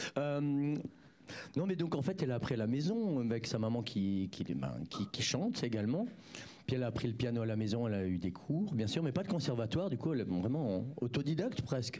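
A man's dark, mellow voice with lively intonation and very even loudness. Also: medium pitch for a man, fairly quick pace. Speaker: live music show host. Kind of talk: casual live interview. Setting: live studio stream with bar. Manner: halting, hesitant.

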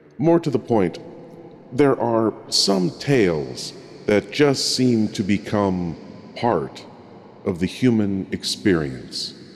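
Over noticeable background noise, a man with a fairly low pitch speaks at a very slow pace, his pitch swinging very widely. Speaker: horror show host. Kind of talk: scripted narration.

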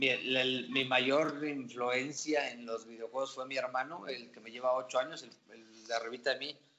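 A man with an unremarkable speaking voice talks at a moderate pace and medium pitch, with big swings in loudness. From Mexico, Querétaro. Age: 20s. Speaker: esports team owner. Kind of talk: casual interview chat.

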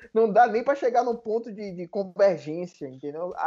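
Talking at a fairly quick pace, a man with a high pitch and a dark, mellow tone makes very wide pitch swings. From Salvador, Bahia, Brazil. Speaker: lawyer. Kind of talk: casual chat.

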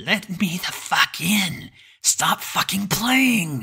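Using a put-on character voice, the speaker sounds raspy at a middle pitch and talks at a very slow pace. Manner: desperate, demanding.

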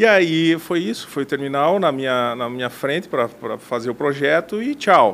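A man with a plain, everyday voice, pitched fairly high, talks at a moderate pace with lively intonation. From western Santa Catarina, Brazil (Mondaí). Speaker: architect. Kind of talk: interview.

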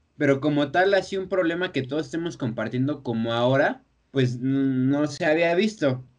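A man speaks at a moderate pace with a Mexican accent. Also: fairly high pitch for a man, ordinary pitch variation. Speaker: podcast host. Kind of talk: casual chat.

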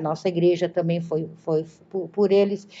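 This voice belongs to a woman. Her words come at a fairly slow pace. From southern Brazil, Galópolis (Caxias do Sul). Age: 60s. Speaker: retired teacher. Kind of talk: interview reminiscence. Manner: halting, many repetitions.

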